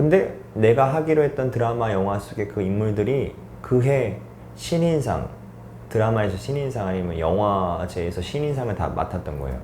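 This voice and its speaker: A man speaks in an ordinary speaking voice, fairly low in pitch. His intonation is lively and his pace moderate. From South Korea, North Gyeongsang. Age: 40s. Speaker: actor. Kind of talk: interview answer.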